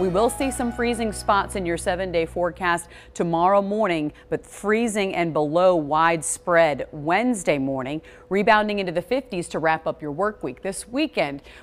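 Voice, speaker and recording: With an animated, upbeat tone and lively intonation, a woman speaks at a moderate pace in a fairly low voice. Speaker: TV meteorologist. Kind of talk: TV weather forecast, presenting maps and temperatures to camera. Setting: TV studio. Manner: upbeat, smooth broadcast delivery with steady pacing; clear, explanatory, walking viewers through animated forecast. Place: studio.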